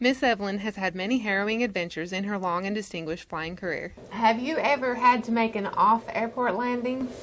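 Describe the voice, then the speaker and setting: Fairly high-pitched woman's voice with ordinary pitch variation, hardly any pauses, and noticeable background noise. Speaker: interviewer. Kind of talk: documentary narration.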